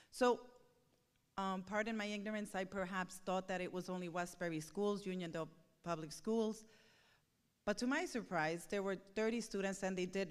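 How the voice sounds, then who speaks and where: In a Spanish accent, a woman talks at a fairly quick pace with a medium pitch and fairly even intonation. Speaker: parent speaking at a school board meeting. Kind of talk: public comment at a board meeting. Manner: halting, with many fillers.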